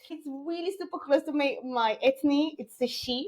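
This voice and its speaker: With a French accent, a woman speaks at a high pitch with lively intonation. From DR Congo. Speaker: tech entrepreneur. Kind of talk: interview. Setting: podcast. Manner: halting.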